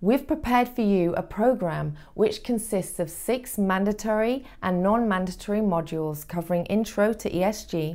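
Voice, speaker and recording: A woman with a British accent, dark and mellow in tone, at a moderate pace with ordinary pitch variation against a quiet background. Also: hardly any pauses. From United Kingdom. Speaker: voice actor. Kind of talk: corporate training narration. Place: studio. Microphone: lapel.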